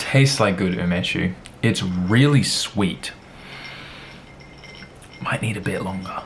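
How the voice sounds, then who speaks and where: A man talks at a very slow pace with a fairly low pitch and ordinary pitch variation. Background noise is noticeable. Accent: American. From Australia. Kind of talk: casual talk to camera.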